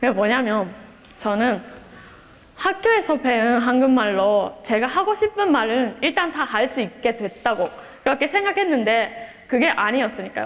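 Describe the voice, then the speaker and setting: A woman with a Japanese accent speaks at a high pitch and a fairly slow pace, with very wide pitch swings and very even loudness. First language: Japanese (speaking Korean). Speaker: exchange student. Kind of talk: speech. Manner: halting.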